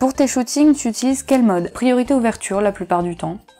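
With faint music in the background, a woman talks at a moderate pace in a dark, mellow tone with lively intonation. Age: 20s. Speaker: photographer and video creator; video creator. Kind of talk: casual Q&A video monologue. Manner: hesitant, many filler sounds.

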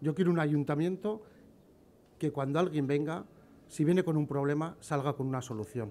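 The man's tone is dark and mellow. He keeps a moderate pace with ordinary pitch variation. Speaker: candidate. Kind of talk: campaign speech. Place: street. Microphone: podium.

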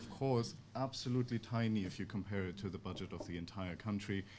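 A man with a fairly low voice and a German accent, fairly quick pace, ordinary pitch variation, and light background noise. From Germany. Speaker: think tank researcher; conference speaker. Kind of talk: conference presentation. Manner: halting. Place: meeting room. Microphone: podium.

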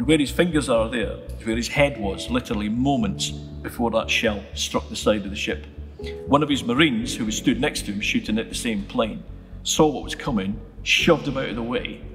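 A man talks at a fairly quick pace. Clear music plays behind him. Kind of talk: interview answer. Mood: calm, reflective storytelling. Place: church.

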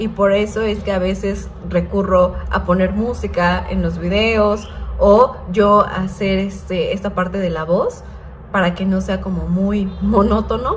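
Light background noise can be heard. The speaker goes at a fairly slow pace. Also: woman. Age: 30s. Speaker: vlogger. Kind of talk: casual vlog narration; casual vlog chat. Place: home room. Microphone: phone near.

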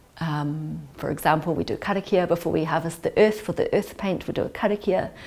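A woman with a New Zealand accent at a moderate pace. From New Zealand (Auckland west). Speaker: writer and artist in residence. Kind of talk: interview reflection on creative work; interview answer. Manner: reflective, with hesitations. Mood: warm, thoughtful. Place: home room. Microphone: lapel.

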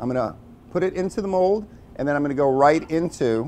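A man speaks with an American accent at a fairly high pitch. It is an ordinary speaking voice, with ordinary pitch variation. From New York City (Brooklyn); New York City. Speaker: chef. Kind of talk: tutorial. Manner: casual. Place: kitchen. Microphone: lapel.

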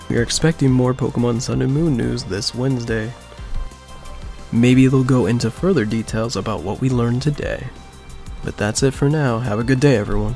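Over music in the background, the voice moves at a fairly quick pace. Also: man, medium pitch for a man, ordinary pitch variation. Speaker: gaming news presenter. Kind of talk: news commentary to camera.

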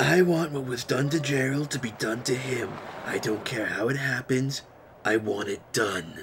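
Clear background noise sits behind a man's voice. He speaks at a moderate pace with a medium pitch. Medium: machinima. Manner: cold, commanding.

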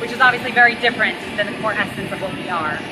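Very fast speech against loud background noise. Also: woman. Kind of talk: interview answer. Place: street.

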